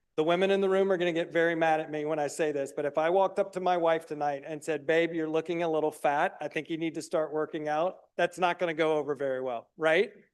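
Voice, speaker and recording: Delivered at a very fast pace with an American accent, the speech keeps fairly even intonation. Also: man, fairly high pitch for a man. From US South, South Carolina (Greenville). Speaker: recovery program founder presenting to county committee. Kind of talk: presentation. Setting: public meeting room, live streamed. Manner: loud.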